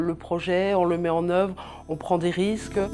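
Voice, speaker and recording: A woman's dark, mellow voice at medium pitch, at a moderate pace, on a very clean recording with a silent background. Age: 40s. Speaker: business founder. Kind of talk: interview testimony. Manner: hesitant, many fillers.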